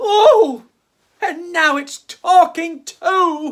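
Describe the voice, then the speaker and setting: Putting on a character voice, a man pushes his pitch extremely high. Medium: read story.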